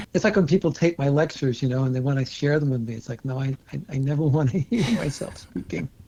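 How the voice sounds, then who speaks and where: Speaking at a very fast pace, a man talks in a fairly high pitch. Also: ordinary pitch variation, hardly any pauses. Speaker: osteopathic physician. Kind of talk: interview.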